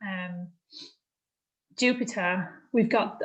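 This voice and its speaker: A woman speaks in a somewhat breathy voice. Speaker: astrology and spiritual workshop leader. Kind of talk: spiritual workshop talk.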